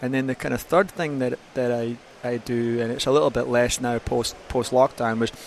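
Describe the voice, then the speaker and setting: Someone with a Scottish accent talks at a fairly quick pace with fairly even intonation. Background noise is noticeable. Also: man. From Scotland. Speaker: gym owner and fitness consultant. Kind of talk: podcast interview.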